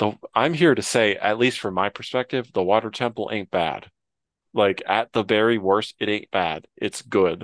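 Recorded dry and close with no echo against a quiet background, a man with a fairly low pitch speaks at a moderate pace with ordinary pitch variation. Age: 20s. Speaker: video game podcast host. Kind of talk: casual chat. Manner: halting.

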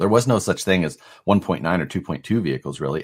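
A man with a Midwestern American accent speaks in a very deep, low pitch. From US Midwest, Nebraska. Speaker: RC parts designer and crawler competitor. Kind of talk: casual chat.

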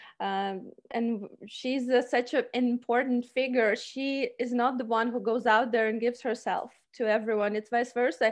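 Against a quiet background, a woman with a high pitch keeps a moderate pace and fairly even intonation, with hardly any pauses. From Ukraine. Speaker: cosplayer and actor. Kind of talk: interview.

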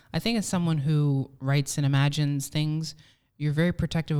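A woman with a New Jersey accent speaks at a moderate pace in a very deep, low pitch with a dark, mellow tone. The recording is very clean, with a silent background. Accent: New Jersey American English. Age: young. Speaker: podcast host. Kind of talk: casual chat. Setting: studio.

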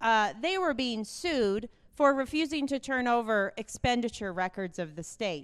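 At a moderate pace, a woman with a fairly high pitch speaks with very wide pitch swings. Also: very clean recording, silent background. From Wyoming, Fremont County. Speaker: state auditor, accountant. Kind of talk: campaign stump speech. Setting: stage at party convention.

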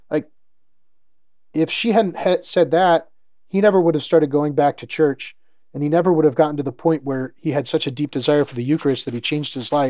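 Over a silent background in a very clean recording, a man talks at a fairly quick pace with a dark, mellow tone. His pitch is fairly high with ordinary variation. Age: 40s. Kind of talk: interview. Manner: halting, many repetitions and fillers.

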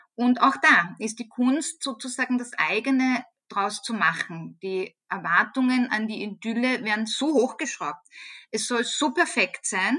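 Her tone bright and sharp, a woman speaks in a high pitch with lively intonation. She talks at a fairly slow pace. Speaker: head of a university social work department. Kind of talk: interview.

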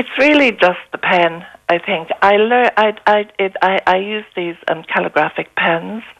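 In an Irish accent, a woman at medium pitch speaks fairly slowly with ordinary pitch variation and hardly any pauses. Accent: Irish (Galway). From East Galway, Ireland. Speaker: author and traveller. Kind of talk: radio interview. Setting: phone call. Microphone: echo and slight hum on the line.

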